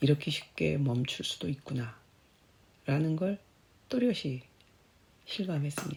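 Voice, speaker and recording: Very deep and low for a woman, her voice is somewhat breathy, with a dark, mellow tone. She speaks at a very slow pace with lively intonation. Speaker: cancer survivor. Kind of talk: personal essay narration.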